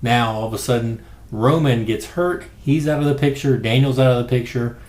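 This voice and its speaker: A quiet man at a medium pitch, fairly quick and fairly even in intonation, with audible room echo. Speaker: wrestling podcast host. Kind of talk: casual commentary monologue. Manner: quiet, low-key.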